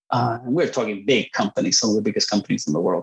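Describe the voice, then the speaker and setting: With a Spanish accent, a man speaks with ordinary pitch variation. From Puerto Rico and Costa Rica. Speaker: engineer, university program director. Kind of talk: interview. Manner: halting, many fillers and repeats.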